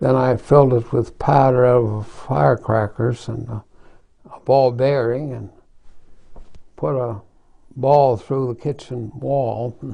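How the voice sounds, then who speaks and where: A man's somewhat breathy voice at a very slow pace, with fairly even intonation and long, frequent pauses. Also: medium pitch for a man. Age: 80s+. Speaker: retired family doctor and gun collector. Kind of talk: interview answer.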